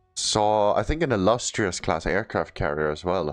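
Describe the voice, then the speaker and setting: A man is speaking with ordinary pitch variation. Music plays in the background. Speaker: gaming video host. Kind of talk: gameplay commentary. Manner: halting, stuttering.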